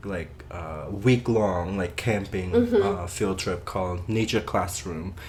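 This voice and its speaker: A man speaks with a Cambodian accent at a fairly low pitch. His pace is very slow. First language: Khmer. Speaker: Khmer language teacher. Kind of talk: interview answer.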